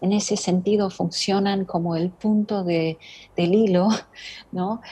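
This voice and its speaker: A woman's somewhat breathy, dark and mellow voice at medium pitch, with monotone, flat intonation and a very slow pace. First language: not Spanish (speaking Spanish). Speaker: writer. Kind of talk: interview conversation. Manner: halting, many fillers.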